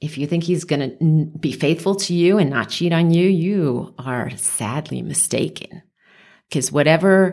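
With a New York accent, a woman speaks in a very deep, low voice at a fairly slow pace, her pitch varying in an ordinary way. The recording is very clean with a silent background. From New York, the Bronx. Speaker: abuse survivor and advocate. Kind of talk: interview. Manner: animated.

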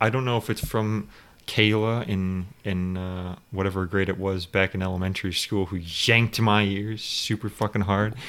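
A man talks at a fairly slow pace with a fairly low pitch. He has an unremarkable speaking voice. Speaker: podcast host. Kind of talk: casual chat.

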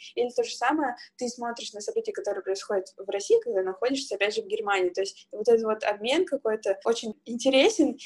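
Speaking at a fairly quick pace, a woman has a plain, everyday voice with a fairly high pitch. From Siberia, Irkutsk region, Russia. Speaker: podcast co-host, sales manager. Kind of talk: casual chat.

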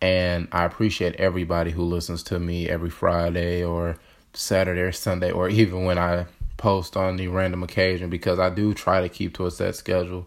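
In a very clean recording with a silent background, a man speaks at a fairly quick pace. His very deep, low voice has monotone, flat intonation. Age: 20s. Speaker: podcast host. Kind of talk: personal monologue.

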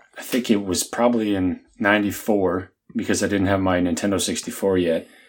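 A man with an American accent speaks in a plain, everyday voice, fairly low-pitched with ordinary pitch variation, at a moderate pace on a very clean recording with a silent background. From US South. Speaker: podcast co-host. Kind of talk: casual chat.

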